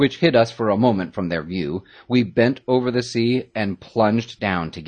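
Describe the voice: The speaker is plain reading aloud with ordinary pitch variation.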